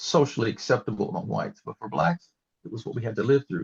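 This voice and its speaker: With an American accent, this voice carries vocal fry in a dry, close sound with no echo. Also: man. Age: 70s. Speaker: retired history professor. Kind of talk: interview. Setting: podcast recording. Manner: halting, many fillers.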